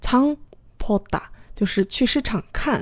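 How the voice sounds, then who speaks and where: A woman's voice at a fairly slow pace. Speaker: podcast host teaching Korean through dramas. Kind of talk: language lesson podcast.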